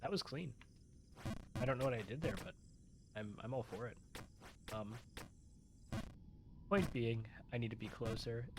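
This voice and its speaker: A soft-spoken man's somewhat breathy voice at a medium pitch, with ordinary pitch variation, a moderate pace and long, frequent pauses. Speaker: gaming video host. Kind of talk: casual gameplay commentary. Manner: hesitant, many fillers. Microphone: quiet, weak volume audio interface.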